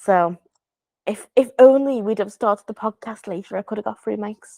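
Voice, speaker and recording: A woman speaks at a moderate pace with fairly even intonation and a fairly high pitch. Her tone is dark and mellow, her loudness swings widely, and the sound is dry and close with no echo. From Liverpool, England. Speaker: podcast co-host and video journalist. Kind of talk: casual chat. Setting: hotel room. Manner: chatty, many fillers.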